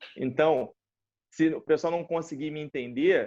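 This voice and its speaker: A normal speaking voice comes through at a moderate pace. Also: man. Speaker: interviewer, kung fu instructor. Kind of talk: interview. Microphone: connection cutting out.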